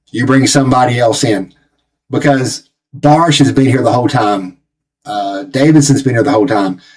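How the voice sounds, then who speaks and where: At a moderate pace, a man in a Southern US accent speaks with medium pitch and ordinary pitch variation. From Tennessee, US South. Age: 40s. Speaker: football channel host. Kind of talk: live match watch-along commentary. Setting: live stream. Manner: animated.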